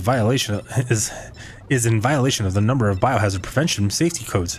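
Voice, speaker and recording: Noticeable background noise sits behind a man speaking at a fairly quick pace. His pitch is medium, with ordinary pitch variation. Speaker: video game streamer. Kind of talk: live gameplay stream, reading game text aloud. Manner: halting, stumbles over words when reading; casual.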